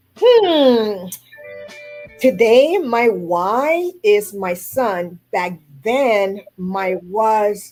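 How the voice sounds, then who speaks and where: This is a woman's voice. She has a Haitian accent. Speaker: food carving artist. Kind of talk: radio interview.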